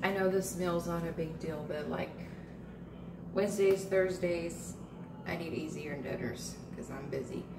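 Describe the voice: Over clear background noise, a woman speaks at a fairly slow pace in a fairly low pitch with ordinary pitch variation.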